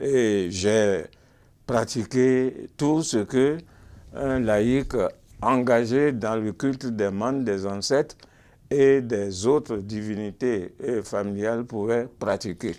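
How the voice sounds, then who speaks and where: A man with a dark, mellow tone speaks at a very slow pace. His pitch moves in an ordinary way. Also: medium pitch for a man. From Benin. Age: 70s. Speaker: church convert giving testimony. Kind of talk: testimony. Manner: halting, frequent hesitations.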